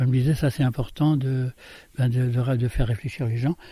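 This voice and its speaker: A man's medium-pitched, somewhat breathy voice with fairly even intonation at a fairly quick pace. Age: 70s. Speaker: former farmhand and voluntary simplicity author. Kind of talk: interview. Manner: halting.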